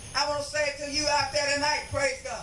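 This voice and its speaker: The recording has light background noise and audible room echo. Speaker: preacher. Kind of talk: revival tent sermon, call-and-response exhortation. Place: tent. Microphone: pa.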